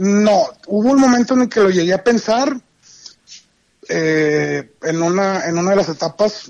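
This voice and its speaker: The speaker is a man with a high pitch. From Monterrey, Mexico. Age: 40s. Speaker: podcast guest, pilgrimage traveller. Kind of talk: casual chat.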